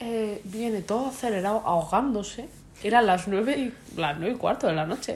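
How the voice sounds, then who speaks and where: Somewhat breathy, a woman talks at a moderate pace in a fairly high voice with ordinary pitch variation. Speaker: podcast co-host. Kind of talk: casual chat.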